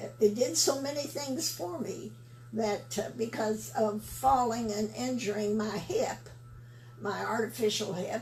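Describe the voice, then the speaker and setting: Noticeable background noise is present. Over it, a woman talks at a very slow pace. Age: 80s+. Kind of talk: interview answer, product testimonial. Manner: hesitant, halting.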